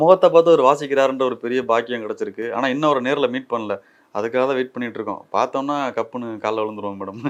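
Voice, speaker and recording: Over a quiet background, a man at medium pitch talks in an ordinary speaking voice with ordinary pitch variation. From Tamil Nadu, Dindigul. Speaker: film actor. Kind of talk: interview.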